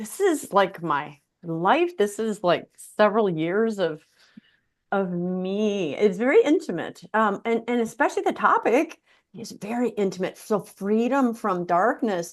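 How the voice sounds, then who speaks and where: A woman talks at a fairly slow pace with lively intonation and a medium pitch. Hers is a plain, everyday voice. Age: 60s. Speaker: talk show host. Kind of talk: interview.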